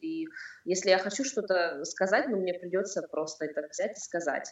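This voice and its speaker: A woman speaks in an ordinary speaking voice at a moderate pace, her pitch medium. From southern Russia, Rostov-on-Don. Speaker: blogger. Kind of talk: interview.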